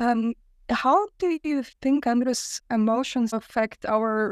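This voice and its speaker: A woman speaks with a Lithuanian accent at a fairly high pitch. The recording is very clean with a silent background, and the sound is dry and close with no echo. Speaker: podcast host. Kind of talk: casual interview.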